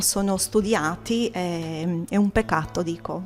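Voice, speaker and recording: A woman with a Romanian accent, lively intonation and a very slow pace. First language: Romanian (speaking Italian). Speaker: artist, poet and gallery owner. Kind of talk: interview; declaiming prepared text. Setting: art exhibition opening. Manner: halting with fillers.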